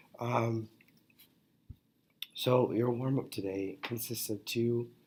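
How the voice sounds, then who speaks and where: Quiet and with monotone, flat intonation, a man speaks. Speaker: math teacher. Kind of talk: lecture. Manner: halting.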